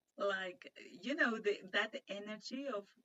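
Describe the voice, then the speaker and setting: A woman with a Spanish accent at a very slow pace, with ordinary pitch variation. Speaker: interviewer and online English teacher. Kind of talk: casual interview chat. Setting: video call. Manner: halting, many fillers.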